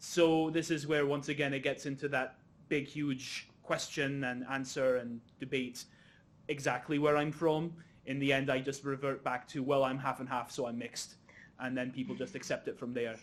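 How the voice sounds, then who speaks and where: A man speaks at a moderate pace with a slight Scottish accent. His fairly high voice stays flat and monotone. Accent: slight Scottish, middle of the road. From Egypt, Cairo. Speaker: panel chair, curating student. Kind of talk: panel discussion.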